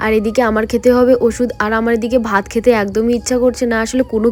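A woman's fairly high, monotone, flat voice. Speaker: lifestyle vlogger. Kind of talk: vlog narration.

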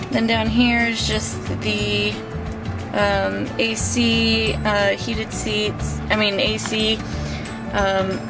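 Someone speaks at a very slow pace as music plays clearly in the background. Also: woman. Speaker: car owner vlogger. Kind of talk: casual vlog chat. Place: car. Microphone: phone near.

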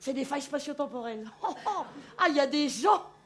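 With lively intonation and a high pitch, a woman speaks at a moderate pace over light background noise. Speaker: stand-up comedian. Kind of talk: comic stage monologue. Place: stage. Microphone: headset.

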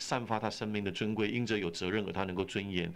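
Very fast speech from a man with a fairly low pitch. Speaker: pastor, radio interview guest. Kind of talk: interview answer. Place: studio. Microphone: old recording.

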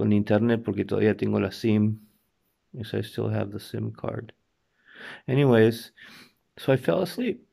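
A man with an Argentine accent and long, frequent pauses. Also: fairly slow pace, quiet background. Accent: Argentine Spanish accent in Italian. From Argentina and US. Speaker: video blogger. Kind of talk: casual vlog. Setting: in bed at home. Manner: halting. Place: home room. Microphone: phone near.

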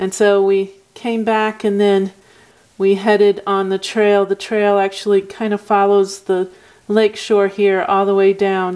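Against a quiet background, a woman speaks at a fairly slow pace with monotone, flat intonation. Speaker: travel vlogger. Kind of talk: casual explanation of a route on a map. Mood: relaxed, pleased. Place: home room.

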